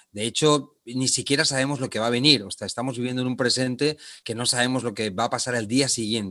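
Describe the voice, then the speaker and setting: A man's very fast, nearly pause-free delivery at medium pitch, bright and sharp in tone, with fairly even intonation. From Spain, Barcelona. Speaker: leadership trainer. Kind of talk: interview.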